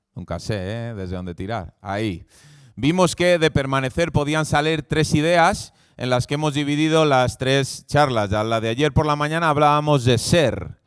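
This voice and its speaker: On a very clean recording with a silent background, a man speaks at a moderate pace. His pitch is fairly high, and his intonation is lively. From Spain, Valladolid (Castile). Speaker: preacher. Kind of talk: sermon. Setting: church event with live audience.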